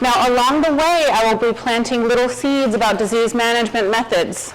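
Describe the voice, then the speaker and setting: A woman with a slight Arkansas accent speaks at a fairly quick pace and a fairly high pitch, with audible room echo and noticeable background noise. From Arkansas, Fayetteville. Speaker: plant pathologist, guest lecturer. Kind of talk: lecture.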